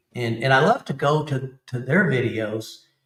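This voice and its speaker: A man speaks with an Alabama accent. His voice sits at a medium pitch. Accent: Alabama Southern. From Alabama, US South. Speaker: YouTube camping channel creator, Army veteran. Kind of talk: casual chat.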